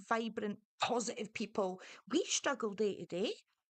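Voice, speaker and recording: A woman at fairly high pitch, moderate pace and ordinary pitch variation against a quiet background. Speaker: online talk show host. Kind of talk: casual chat. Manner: animated; quieter than co-host.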